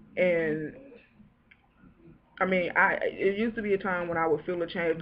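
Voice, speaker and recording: Music plays in the background as a woman talks at a fairly quick pace. Her medium-pitched voice has lively intonation. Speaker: network marketing distributor. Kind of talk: emotional testimony. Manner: halting.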